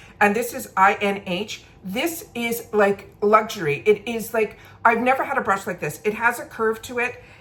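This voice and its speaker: Through noticeable background noise, a woman with a fairly high voice and ordinary pitch variation talks with hardly any pauses. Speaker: beauty and makeup vlogger. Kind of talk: casual get-ready-with-me product review. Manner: fast.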